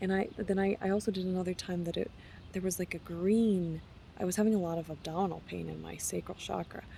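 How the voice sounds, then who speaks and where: A woman talks at a very fast pace in a monotone, flat delivery. Her tone is dark and mellow and somewhat breathy. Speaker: wellness vlogger. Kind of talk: casual vlog monologue. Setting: traveling, on retreat. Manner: halting, many restarts.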